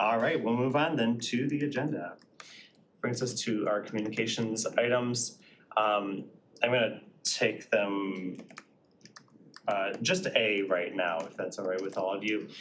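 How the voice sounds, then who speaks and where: A man with a medium pitch talks with long, frequent pauses and ordinary pitch variation. Audible room echo is present. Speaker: committee chair. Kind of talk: public meeting. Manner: fast.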